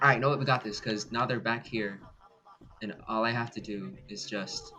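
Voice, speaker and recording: Over music in the background, a man talks in an excited tone. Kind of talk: gameplay commentary. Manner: excited, startled.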